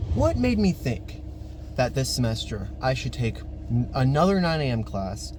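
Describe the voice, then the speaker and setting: The delivery moves at a moderate pace, with audible room echo. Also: man. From rural area. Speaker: vlogger. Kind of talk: casual vlog monologue.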